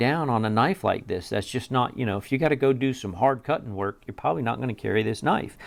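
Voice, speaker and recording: On a very clean recording with a silent background, a man with a Southern US accent talks at a fairly quick pace with ordinary pitch variation. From US South. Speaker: knife reviewer. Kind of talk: product review. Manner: casual, conversational.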